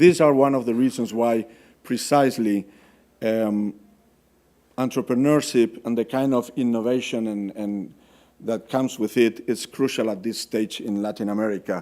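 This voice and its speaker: A man with a Spanish accent, dark and mellow in tone, at a medium pitch and moderate pace with fairly even intonation, on a very clean recording with a silent background. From Spain. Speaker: development finance officer. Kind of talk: conference presentation. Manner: hesitant, many fillers and repetitions.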